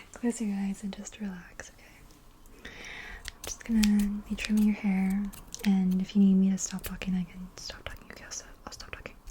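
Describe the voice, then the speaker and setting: A soft-spoken woman talks at a moderate pace in a monotone, flat delivery, her loudness swinging widely. Background noise is noticeable. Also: medium pitch for a woman. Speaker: ASMR creator. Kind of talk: ASMR hairstylist roleplay. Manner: soft-spoken, chatty.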